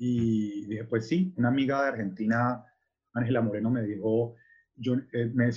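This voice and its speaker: A man speaks at a medium pitch, his voice somewhat breathy. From Colombia, Cali. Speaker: artist. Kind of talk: interview. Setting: video call.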